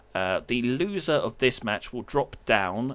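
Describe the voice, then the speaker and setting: In a very clean recording with a silent background, a man with a British accent talks at a very slow pace in a bright, sharp tone. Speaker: esports caster. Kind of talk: live commentary. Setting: live stream. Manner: casual.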